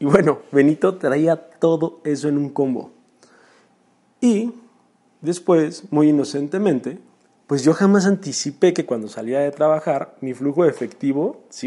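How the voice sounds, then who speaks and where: Speech comes at a fairly slow pace in a dark, mellow tone. Pitch varies in an ordinary way. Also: man, fairly high pitch for a man. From Mexico, Chalco, State of Mexico. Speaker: entrepreneur podcaster. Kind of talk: personal storytelling monologue. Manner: casual.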